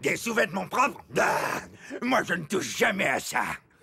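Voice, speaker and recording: Here a man puts on a cartoonish character voice at a high pitch. He talks at a moderate pace. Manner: gruff, bossy.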